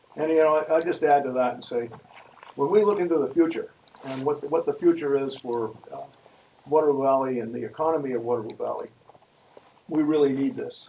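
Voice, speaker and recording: Delivered at a fairly quick pace with ordinary pitch variation, the speech has long, frequent pauses and big swings in loudness over noticeable background noise. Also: man, fairly high pitch for a man. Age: 80s+. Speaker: town meeting participant. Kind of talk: public meeting comment. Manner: halting.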